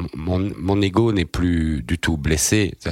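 Over noticeable background noise, a man talks with a very deep, low pitch and ordinary pitch variation. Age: 40s. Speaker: journalist and novelist. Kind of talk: interview.

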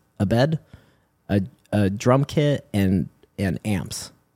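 A man's voice has a dark, mellow tone and a dry, close sound with no echo. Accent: American. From San Diego, California, US. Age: 40s. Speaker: rock musician. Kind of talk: casual chat.

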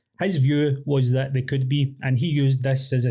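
With a dark, mellow tone and a somewhat breathy quality, a man speaks at medium pitch. His delivery is monotone and flat, at a moderate pace. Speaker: academic researcher. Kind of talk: casual chat.

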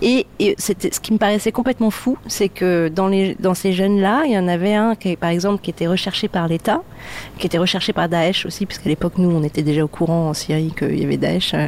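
A woman talks at a fairly quick pace with a medium pitch and ordinary pitch variation. Her loudness stays very even. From Lebanon (Beirut), of Palestinian origin. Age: 40s. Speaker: documentary filmmaker and preserves maker. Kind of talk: casual chat. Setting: kitchen. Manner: halting.

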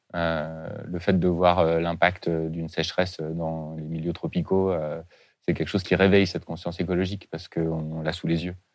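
The recording is very clean with a silent background. A man speaks at a very deep, low pitch in a monotone, flat delivery. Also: moderate pace. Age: 40s. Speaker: head of a refugee integration charity. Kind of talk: interview. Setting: studio. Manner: halting.

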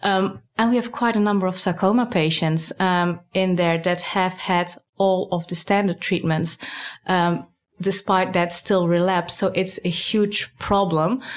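With a Dutch accent, a woman speaks at medium pitch and a fairly slow pace, her loudness very even and her intonation fairly even. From Netherlands. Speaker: cancer research scientist. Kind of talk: interview.

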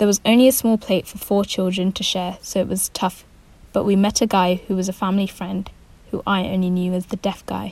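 A woman with a mid-range pitch speaks at a fairly quick clip in a somewhat breathy, monotone voice with flat intonation. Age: 20s. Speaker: writer. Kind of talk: reading aloud.

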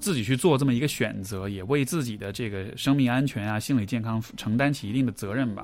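At a fairly quick pace, a man with a plain, everyday voice speaks at medium pitch with ordinary pitch variation. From China, Chengdu (Sichuan). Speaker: psychological counselor. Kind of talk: conversational interview.

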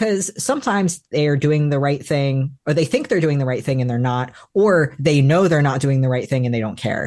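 Using a plain, everyday voice, a man speaks at a moderate pace and fairly high pitch with ordinary pitch variation and hardly any pauses. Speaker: novelist. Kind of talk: author interview.

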